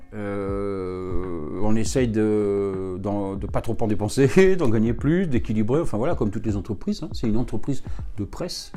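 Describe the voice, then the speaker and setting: A man's fairly low, dark and mellow voice at a moderate pace, with audible room echo. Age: 60s. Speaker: TV station director and journalist. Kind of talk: interview answers. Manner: hesitant, many fillers.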